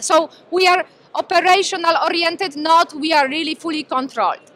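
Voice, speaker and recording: A woman's raised, projected voice moves at a moderate pace with ordinary pitch variation. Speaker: presenter. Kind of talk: lecture. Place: hall. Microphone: handheld.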